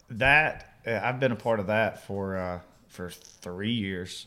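A man with a fairly low voice speaks in an Alabama accent. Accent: Southern US (Alabama). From Alabama, US South. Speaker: country musician. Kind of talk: casual chat.

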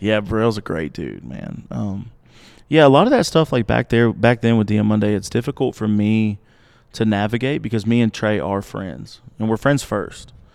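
In an Alabama accent, a man speaks at a moderate pace and a fairly low pitch with ordinary pitch variation against a quiet background. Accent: Alabama Southern. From US South, Montgomery, Alabama. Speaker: digital marketer and artist manager. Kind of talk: casual interview chat. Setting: live at a country music venue.

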